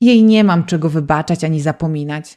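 In a dark, mellow tone, a woman with a fairly low pitch speaks dramatically at a fairly quick pace on a very clean recording with a silent background. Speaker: audiobook narrator. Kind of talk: audiobook narration, romance, with dramatic emotional passages. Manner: dramatic, emotional, expressive, shifts between narration and dialogue voices.

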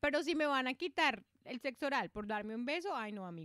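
Animated woman's voice at a fairly quick pace with very wide pitch swings, dry with no echo over a quiet background. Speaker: podcast co-host. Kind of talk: casual chat. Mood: playful, joking. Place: home room. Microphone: studio mic.

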